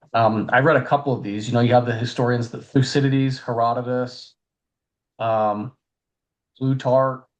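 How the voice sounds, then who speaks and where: A man talks in a flat, monotone way at a medium pitch. His pauses are long and frequent. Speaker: family podcast co-host. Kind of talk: casual educational discussion. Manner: fast.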